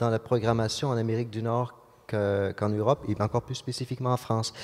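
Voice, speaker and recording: A man's dark, mellow voice at a medium pitch and a fairly quick pace. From Quebec. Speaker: orchestra conductor. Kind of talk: interview. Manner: halting, many repetitions and fillers.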